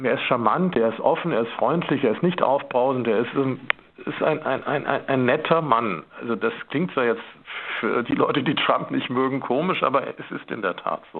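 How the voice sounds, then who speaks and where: A man talks at a medium pitch and a moderate pace with ordinary pitch variation. There is noticeable background noise. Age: 50s. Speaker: photographer. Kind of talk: radio interview.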